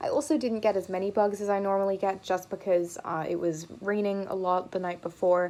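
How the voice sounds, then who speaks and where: Over a silent background in a very clean recording, a woman with a dark, mellow tone talks at a fairly quick pace with fairly even intonation. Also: medium pitch for a woman, hardly any pauses. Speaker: entomology video host. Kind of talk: educational vlog narration. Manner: casual.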